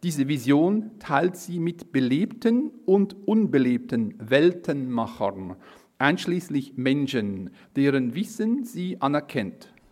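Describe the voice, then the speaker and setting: A very slow, fairly high-pitched man's voice in a Swiss accent, full of very wide pitch swings. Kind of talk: reading aloud.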